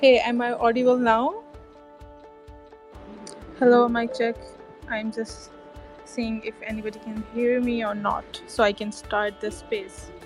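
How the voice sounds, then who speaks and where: A woman with a fairly high pitch speaks at a fairly slow pace with long, frequent pauses. Music plays in the background. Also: ordinary pitch variation. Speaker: podcast host. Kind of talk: casual conversation host questions. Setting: online audio chat.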